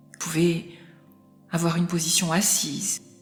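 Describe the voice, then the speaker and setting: A woman at a medium pitch in a calm tone, with music in the background. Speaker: clinical psychologist and hypnotherapist. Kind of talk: guided hypnosis relaxation session. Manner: slow, soft-spoken, calm.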